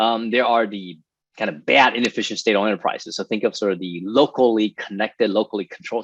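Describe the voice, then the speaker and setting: Speaking at a very fast pace with an American accent, the voice keeps a fairly even intonation, with a dry, close sound, no echo and a quiet background. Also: man. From Taiwan, then US. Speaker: finance professor and investment executive. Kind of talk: webinar Q&A, expert explanation. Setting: video call webinar.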